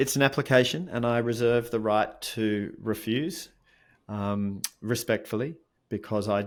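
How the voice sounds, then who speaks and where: Speaking at a moderate pace with an Australian accent, a man keeps a fairly low voice and fairly even intonation on a very clean recording with a silent background. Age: 50s. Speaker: mindfulness coach and author. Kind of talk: interview conversation.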